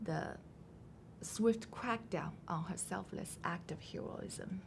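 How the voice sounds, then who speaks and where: A woman with a Chinese accent speaks in a fairly low voice with vocal fry and ordinary pitch variation. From China. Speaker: novelist. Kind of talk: interview. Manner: measured, prepared answers.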